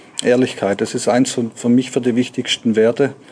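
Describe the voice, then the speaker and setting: Speaking at a fairly quick pace over noticeable background noise, a man holds a medium pitch with monotone, flat intonation. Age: 40s. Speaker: company managing director. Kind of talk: interview.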